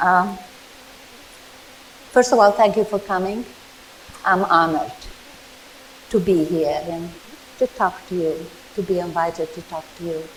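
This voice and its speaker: A moderate pace with ordinary pitch variation in a Hungarian accent, marked by long, frequent pauses and noticeable background noise. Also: woman. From Czechoslovakia/Hungary, emigrated to US as teen. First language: Czech, then Hungarian. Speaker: Holocaust survivor. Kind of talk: testimony. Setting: museum talk with audience, microphone. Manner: loud.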